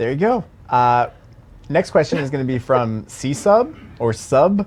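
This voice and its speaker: Talking at a fairly slow pace, a man with a slight Baltimore accent uses a fairly high pitch and lively intonation. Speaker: game community livestream host. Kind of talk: casual Q&A livestream.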